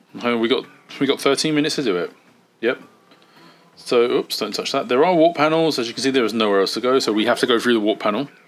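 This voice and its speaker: A British accent marks a man's medium-pitched voice, with ordinary pitch variation. He speaks very fast yet with long, frequent pauses. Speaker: gaming video creator. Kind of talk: let's play gaming commentary. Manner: casual, rambling.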